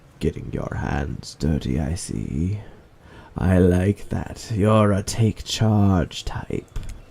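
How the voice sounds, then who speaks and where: Doing a raspy put-on character voice, a man speaks very slowly at a very deep, low pitch. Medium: solo performance.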